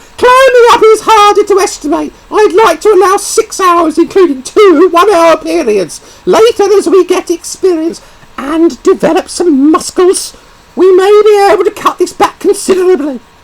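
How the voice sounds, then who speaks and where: Using a put-on character voice, a man speaks squeakily at an extremely high pitch and a moderate pace. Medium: read story. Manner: brisk, firm.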